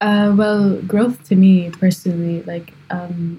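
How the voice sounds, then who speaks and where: A woman speaks in a dark, mellow tone that is somewhat breathy. Her intonation is monotone and flat. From Kuwait. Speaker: hobbyist photographer. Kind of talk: interview.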